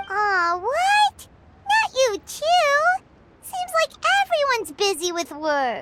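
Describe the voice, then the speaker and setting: In a put-on character voice, the speaker squeaks at an extremely high pitch and a very slow pace. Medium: video game. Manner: excitable, chatty.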